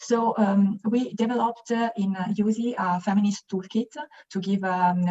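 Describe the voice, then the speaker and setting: A woman with an Italian accent speaks at a medium pitch, somewhat breathy. Her intonation stays fairly even. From Italy. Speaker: youth organization activist, panelist. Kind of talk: webinar panel discussion. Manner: halting, many fillers.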